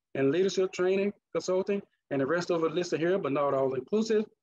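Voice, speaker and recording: A man's high-pitched voice in a Mississippi accent, very fast, with ordinary pitch variation and a dry, close sound with no echo. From US South, Mississippi. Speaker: leadership trainer and conference speaker. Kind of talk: conference presentation.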